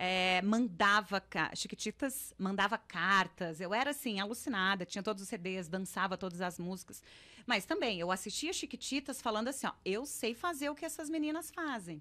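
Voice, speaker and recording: A woman with a bright, sharp tone speaks at a moderate pace, her pitch swinging very widely. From interior of São Paulo state, Ribeirão Preto; São Paulo state. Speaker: actress. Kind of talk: casual interview. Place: studio. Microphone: studio mic.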